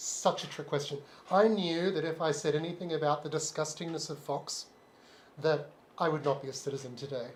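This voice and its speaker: A man with an Australian accent talks at a fairly quick pace. His pitch is fairly high and his intonation fairly even. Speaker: live stream co-host. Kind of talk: casual chat. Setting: live stream.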